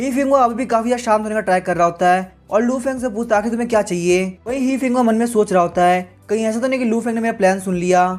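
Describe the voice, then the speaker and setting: Music plays in the background as a man speaks. His pitch is high, and he hardly pauses. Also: ordinary pitch variation. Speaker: comic recap narrator. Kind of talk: story recap narration. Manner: casual, conversational.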